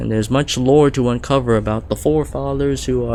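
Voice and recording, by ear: Someone reads a text aloud. The voice sounds natural.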